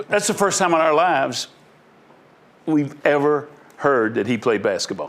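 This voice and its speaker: A man's fairly high voice with lively intonation, a moderate pace and long, frequent pauses. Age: 60s. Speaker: hall of fame inductee, former athlete. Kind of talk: casual chat.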